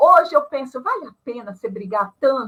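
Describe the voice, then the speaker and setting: A woman at a fairly slow pace. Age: 60s. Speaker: retired panel guest on ageing. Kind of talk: live panel discussion.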